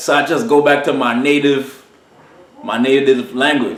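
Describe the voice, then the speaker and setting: The recording carries noticeable background noise and audible room echo. A man speaks in an American accent at medium pitch. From Trinidad. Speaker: sound system selector. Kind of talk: casual interview. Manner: animated.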